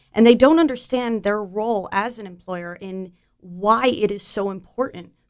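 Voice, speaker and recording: A woman with a medium pitch talks at a moderate speed, her pitch moving in an ordinary way. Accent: American. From New Jersey, Monmouth County. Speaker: volunteer with military employer support group. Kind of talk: radio interview. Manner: halting, many fillers.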